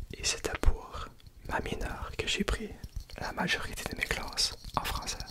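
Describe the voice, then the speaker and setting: A man whispers at a fairly slow pace, with long, frequent pauses. Noticeable background noise can be heard. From Canada, French-speaking. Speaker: ASMR content creator. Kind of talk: ASMR talk. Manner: soft-spoken.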